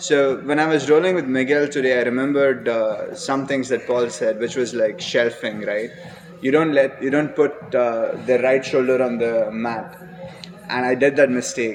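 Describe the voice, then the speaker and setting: Against noticeable background noise, a man with a medium pitch talks at a moderate pace with fairly even intonation. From India. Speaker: jiu-jitsu student and graduate student. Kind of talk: casual chat.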